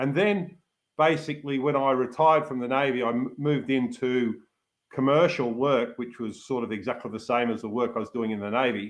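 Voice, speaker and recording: A man with an Australian accent speaks at medium pitch. He moves at a fairly quick pace with ordinary pitch variation. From Australia, Melbourne suburbs (born in Manchester, emigrated as child). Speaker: yachtsman, retired navy officer and hydrographic surveyor. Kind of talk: interview.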